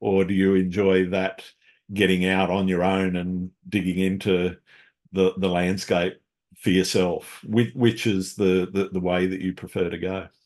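Speaking at a fairly slow pace, a man with an Australian accent has a very deep, low voice and flat, monotone intonation. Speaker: podcast host, landscape photographer. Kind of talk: casual interview chat.

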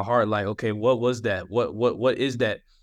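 This man talks with an American accent at a medium pitch. His intonation is monotone and flat. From Atlanta, Georgia (US South). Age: 20s. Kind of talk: testimony. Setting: video call.

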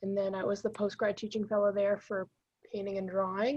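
A woman speaks in a medium-pitched, somewhat breathy voice. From Massachusetts North Shore. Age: 20s. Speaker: painter and art professor. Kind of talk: casual interview.

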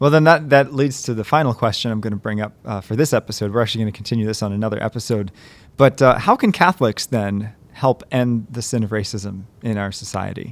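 A man talks at a very fast pace with medium pitch and ordinary pitch variation. The recording is very clean with a silent background. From Western Maryland, US. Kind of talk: casual chat. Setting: studio.

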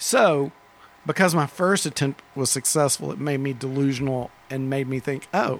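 A man with an American accent, a normal speaking voice and fairly high pitch, at a moderate pace with ordinary pitch variation. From Dallas, Texas. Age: 50s. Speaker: record store owner. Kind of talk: casual interview. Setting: record store.

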